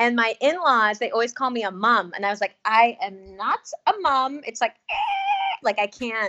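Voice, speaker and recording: Her unremarkable speaking voice, pitched fairly high, has an American accent and lively intonation, moving at a moderate pace with hardly any pauses. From US South, North Carolina. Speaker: podcast writer and teacher. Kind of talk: casual chat. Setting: video call.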